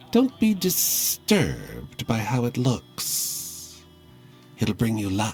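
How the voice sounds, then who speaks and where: Clear music plays in the background behind a man's put-on character voice. His pitch is medium and his pace very slow. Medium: game stream. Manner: sly, hissing.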